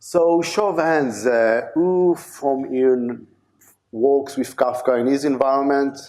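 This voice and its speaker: There is audible room echo as a man with a dark, mellow tone speaks very slowly in an Israeli accent. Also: fairly high pitch for a man, ordinary pitch variation, very even loudness. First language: Hebrew. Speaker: conference speaker, DevOps engineer. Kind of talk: conference talk. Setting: stage with audience. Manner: halting, many fillers.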